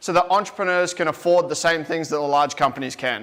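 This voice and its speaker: Here a man talks at a fairly high pitch. His intonation stays monotone and flat. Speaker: event emcee. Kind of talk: live event hosting. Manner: fast.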